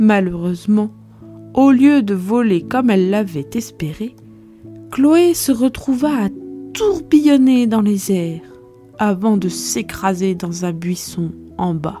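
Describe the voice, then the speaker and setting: A soft-spoken woman talks at a very slow pace with medium pitch, lively intonation and a soothing tone. Long, frequent pauses break up her speech, and music plays in the background. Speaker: storyteller. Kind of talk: bedtime story. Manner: soft, soothing.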